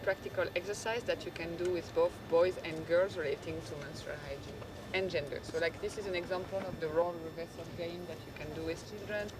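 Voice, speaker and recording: The speaker talks at a fairly quick pace with a French accent, over noticeable background noise. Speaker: NGO panelist presenting a school program. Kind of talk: panel presentation. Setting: conference stage with audience. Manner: halting, with frequent fillers and restarts.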